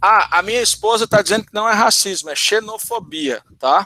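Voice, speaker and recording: Speaking at a moderate pace in a northeastern Brazilian accent, a man uses a raised, projected voice that is high-pitched, bright and sharp, recorded dry and close with no echo. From Ceará, northeastern Brazil. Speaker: math teacher. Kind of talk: online talk Q&A. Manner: halting, many repetitions.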